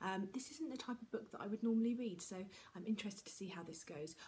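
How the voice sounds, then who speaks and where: A soft-spoken woman with a British accent has a dark, mellow, somewhat breathy tone and ordinary pitch variation. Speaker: book vlogger. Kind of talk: casual monologue to camera. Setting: at home.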